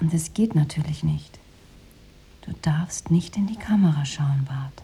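Putting on a character voice, a woman speaks low with ordinary pitch variation, a dark, mellow tone, a husky, rough edge and vocal fry. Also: fairly slow pace.

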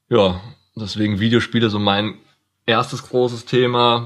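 Recorded very cleanly against a silent background, a man speaks at a fairly slow pace with fairly even intonation. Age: 20s. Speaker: podcast co-host, university student. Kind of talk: casual chat.

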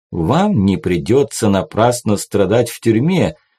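The speech is plain reading aloud. It is delivered as plain reading aloud.

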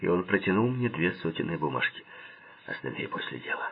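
The speaker uses an unforced reading voice.

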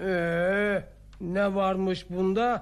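A put-on character voice moves at a very slow pace with little pitch movement. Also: man, high pitch for a man.

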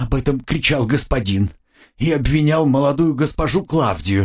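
In a put-on character voice, a man speaks shaky and raspy at a moderate pace and medium pitch, on a very clean recording with a silent background.

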